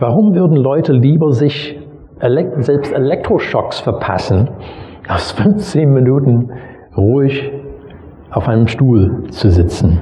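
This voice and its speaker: A man with a non-native accent talks at a very slow pace, with long, frequent pauses, a fairly high pitch, lively intonation and very even loudness. Noticeable background noise and audible room echo are present. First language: not German (speaking German). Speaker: pastor. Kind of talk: sermon. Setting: church.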